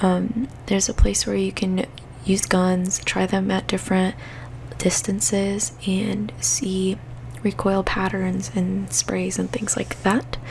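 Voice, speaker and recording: Through noticeable background noise, a soft-spoken voice moves at a very slow speed. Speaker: gaming ASMR creator. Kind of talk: soft-spoken ASMR gaming tips.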